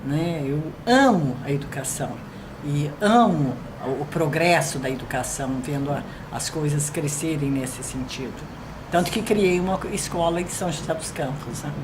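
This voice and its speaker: A woman with a very deep, low voice speaks at a fairly slow pace with ordinary pitch variation, amid audible room echo and noticeable background noise. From Brazil, São Paulo state interior (Americana). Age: 70s. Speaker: retired educator. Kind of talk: interview.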